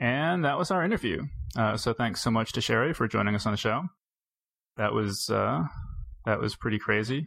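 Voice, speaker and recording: A man of medium pitch speaks at a moderate pace with vocal fry. His loudness stays very even, broken by long, frequent pauses. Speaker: podcast host. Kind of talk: casual interview and intro.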